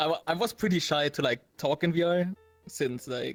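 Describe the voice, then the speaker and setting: A man with a German accent at a moderate pace, ordinary pitch variation and a dry, close sound with no echo. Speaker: VR gamer, interview guest. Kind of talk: casual chat. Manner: halting.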